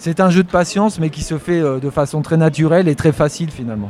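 Here is a man with a normal speaking voice at a moderate pace. His pitch varies in an ordinary way. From France, Poitou (rural). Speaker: wildlife photographer. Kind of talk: interview by schoolchildren. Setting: photography festival.

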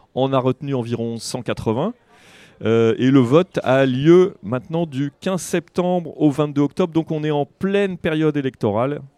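A man's fairly high voice with a dark, mellow tone, ordinary pitch variation and a fairly slow pace, in a dry, close sound with no echo. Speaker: radio host. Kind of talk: radio presentation. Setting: outdoor market.

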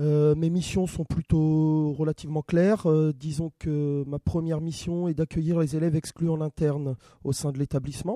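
At a moderate pace, a man with a fairly high pitch speaks in a dark, mellow tone, the sound dry and close with no echo. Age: 30s. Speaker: school staff and youth sports educator. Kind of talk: interview. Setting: studio. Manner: hesitant, many fillers.

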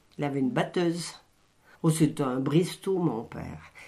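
A woman speaks with a very deep, low pitch. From France, Isère (Saint-Aupre area near Voiron). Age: 70s. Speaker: retired textile mill worker. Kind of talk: oral history interview. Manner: halting.

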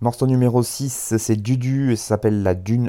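The speaker is a man. His tone is dark and mellow. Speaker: radio host. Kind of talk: radio music show presentation. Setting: home recording, windows open with outside noise. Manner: hesitant with fillers.

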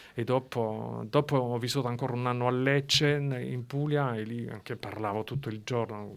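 Speaking at a moderate pace with hardly any pauses, a man holds a medium pitch and fairly even intonation. The recording is very clean, with a silent background. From eastern France. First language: French (speaking Italian). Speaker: writer. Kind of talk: interview. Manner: halting.

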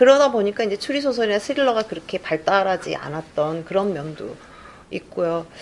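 Over noticeable background noise, a woman with a medium pitch talks at a fairly quick pace, her voice making very wide pitch swings. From South Korea, Gwangju area. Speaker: crime novelist. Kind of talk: interview answers at a book event. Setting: room with live audience, no sound system.

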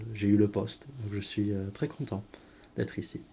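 A man's fairly low, dark and mellow voice with ordinary pitch variation. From southern France. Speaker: English teacher. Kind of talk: interview. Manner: hesitant.

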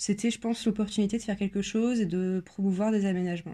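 A woman's somewhat breathy voice at a medium pitch, dark and mellow in tone, very fast in pace, with monotone, flat intonation. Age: 20s. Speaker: person sharing lived experience of panic disorder. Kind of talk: personal testimony. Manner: hesitant, many filler sounds.

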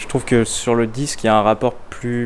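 Noticeable background noise behind a man's monotone, flat delivery at a medium pitch and moderate pace. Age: 20s. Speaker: philosophy student. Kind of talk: casual interview.

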